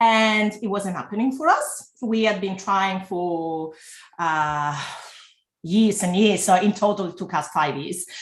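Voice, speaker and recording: A woman speaks at a fairly slow pace with a slight Italian accent. Her voice is somewhat breathy, with ordinary pitch variation. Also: medium pitch for a woman. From Italy. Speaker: entrepreneur and former lawyer. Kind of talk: interview. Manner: halting, many fillers.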